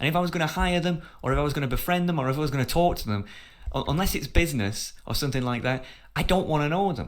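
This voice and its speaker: In a northern English accent, a man with a fairly high pitch talks at a very fast pace with an animated tone and ordinary pitch variation, with audible room echo. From northern England. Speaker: podcast host. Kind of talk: heated debate.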